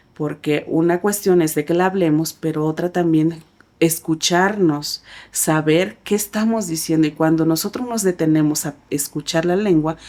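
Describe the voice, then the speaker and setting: A woman's fairly slow, fairly low voice in a Chiapas accent, with a dark, mellow tone and ordinary pitch variation. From Chiapas, Mexico (Tzeltal community). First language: Tzeltal (speaking Spanish). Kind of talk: interview. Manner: hesitant, many fillers.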